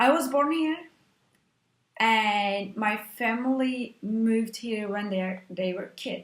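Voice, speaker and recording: A woman's fairly high, somewhat breathy voice at a very slow pace, with ordinary pitch variation. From Turkey, Istanbul. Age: 20s. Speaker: actress. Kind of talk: interview monologue. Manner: halting.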